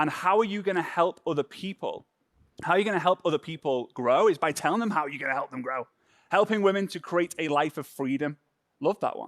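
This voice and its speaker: A high-pitched man with a Liverpool accent in an animated tone at a fairly quick pace, dry and close with no echo, on a very clean recording with a silent background. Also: ordinary pitch variation. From northern England, Formby near Liverpool. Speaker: social media trainer. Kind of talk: workshop.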